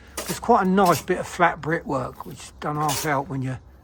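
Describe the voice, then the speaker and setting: Noticeable background noise sits under this recording. The man's pace is moderate. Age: 70s. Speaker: bricklayer. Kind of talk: casual on-site talk.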